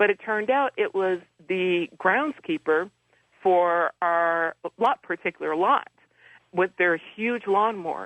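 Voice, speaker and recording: In an American accent, a woman speaks at a very slow pace with a medium pitch. Her pitch varies in an ordinary way. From Detroit, US Midwest. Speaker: angel medium and author. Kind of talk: radio interview.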